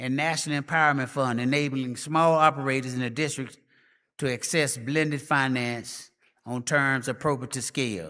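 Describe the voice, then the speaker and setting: Over a silent background in a very clean recording, a man speaks at a moderate pace with a bright, sharp tone and fairly even intonation. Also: medium pitch for a man. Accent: Memphis. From US South, Memphis, Tennessee. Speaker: professor, conference speaker. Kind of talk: conference speech.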